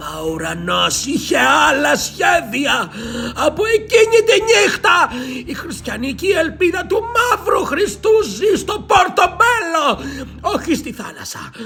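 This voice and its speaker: A man's put-on character voice at an extremely high pitch, over clear background noise. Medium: read story. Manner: ominous, solemn.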